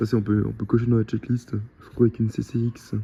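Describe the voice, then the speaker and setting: Somewhat breathy male speech at medium pitch and a fairly quick pace. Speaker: car vlogger. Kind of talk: vlog commentary. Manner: fast; animated.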